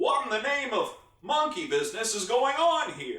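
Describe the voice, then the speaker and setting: A man puts on a gruff character voice at an extremely high pitch, swinging very widely in pitch, with a slight echo. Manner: grumpy, surprised.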